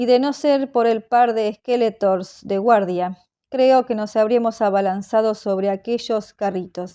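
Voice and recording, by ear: Reading aloud in a natural voice, against a quiet background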